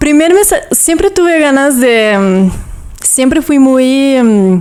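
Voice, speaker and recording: A woman with a Brazilian accent and a high pitch, very wide pitch swings, a very slow pace and very even loudness, over noticeable background noise. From southern Brazil (Toledo, Paraná). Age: 20s. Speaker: yoga teacher. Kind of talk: casual interview chat.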